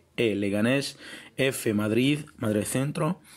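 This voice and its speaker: With normal variation in pitch, a man talks at a medium pitch. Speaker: video blogger answering viewers' questions. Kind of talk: casual informational talk, Q&A vlog with clips.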